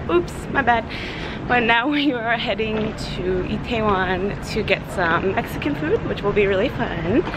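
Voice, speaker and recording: A woman talks fairly slowly with ordinary pitch variation, noticeable background noise audible behind her. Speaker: travel vlogger. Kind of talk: casual vlog chat. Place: street. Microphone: phone near.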